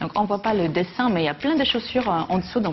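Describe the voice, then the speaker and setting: The delivery is at a fairly quick pace with lively intonation. Noticeable background noise runs underneath. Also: woman. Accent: non-native. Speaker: TV columnist. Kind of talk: TV chronicle segment, casual chat.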